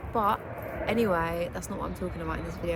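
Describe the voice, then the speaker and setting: A voice with a British accent comes through audible room echo and noticeable background noise. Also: woman. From England. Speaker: lifestyle vlogger. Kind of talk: casual vlog talk. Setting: outdoors. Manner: chatty, filler-heavy.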